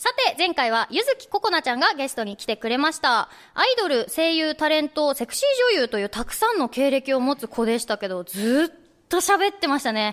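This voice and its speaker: A woman's high voice with very wide pitch swings, in a very clean recording with a silent background and a dry, close sound free of echo. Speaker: radio host. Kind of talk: casual chat. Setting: studio with live audience.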